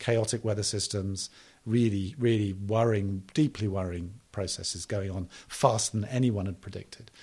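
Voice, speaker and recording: In a very clean recording with a silent background, a man speaks with a dark, mellow tone, a fairly low pitch, fairly even intonation and a somewhat breathy quality. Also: moderate pace. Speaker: development policy advisor and author. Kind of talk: interview.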